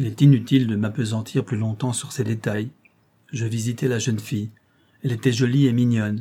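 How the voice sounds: Fairly even intonation in a natural reading voice.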